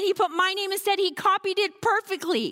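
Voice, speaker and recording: A woman's extremely high-pitched, raised and projected voice with an American accent, bright and sharp in tone, dry and close with no echo, at a moderate pace. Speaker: comedian and speaker. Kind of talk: sermon.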